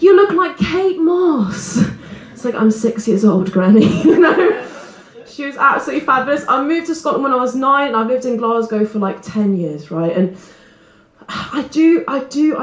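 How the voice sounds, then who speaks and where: Over noticeable background noise, a woman with an English accent speaks at a moderate pace, her high voice making very wide pitch swings. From England. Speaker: stand-up comedian. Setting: stage.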